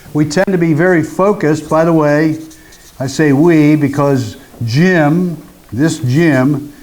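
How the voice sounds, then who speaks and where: Over noticeable background noise, a man speaks in a fairly high pitch with fairly even intonation. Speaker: workshop trainer. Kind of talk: workshop presentation.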